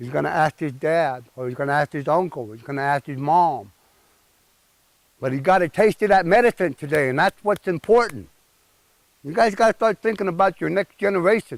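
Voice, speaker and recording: A man's voice sits at a fairly high pitch, moving at a fairly quick pace with ordinary pitch variation. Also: dry, close sound with no echo. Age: 60s. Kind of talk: speaking to a gathering about tradition. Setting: outdoors at a sweat lodge. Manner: informal, earnest.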